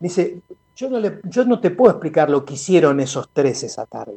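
His tone is dark and mellow, yet his pitch is high. The man speaks at a moderate pace with lively intonation. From Buenos Aires, La Boca. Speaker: musician. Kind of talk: interview. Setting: video call.

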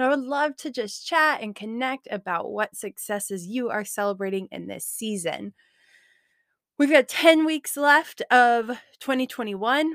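With an upbeat, enthusiastic tone and lively intonation, a high-pitched woman talks at a moderate pace, her loudness swinging widely, in a very clean recording with a silent background and a dry, close sound with no echo. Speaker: podcast host. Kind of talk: casual podcast monologue.

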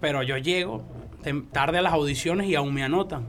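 A man's fairly rapid speech, with typical pitch movement, carries audible echo from the room and a noticeable layer of background noise. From Venezuela. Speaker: freestyle rapper. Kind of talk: casual chat.

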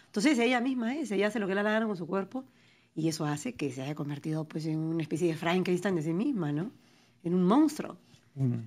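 Over a very clean recording with a silent background, a woman talks at a fairly quick pace. Her fairly low voice swings very widely in pitch. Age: 40s. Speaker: writer and poet. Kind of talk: interview. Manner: articulate, fluent.

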